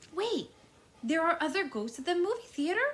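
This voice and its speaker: In a put-on character voice, the speaker goes extremely high in pitch with very wide swings, keeping a moderate pace. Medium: read story.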